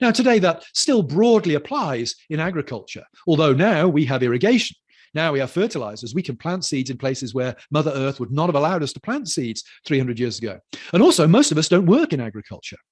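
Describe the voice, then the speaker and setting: With lively intonation and a fairly high pitch, a man talks at a fairly quick pace over a quiet background. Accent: British. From United Kingdom. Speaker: lecturer on culture and theology. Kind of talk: lecture.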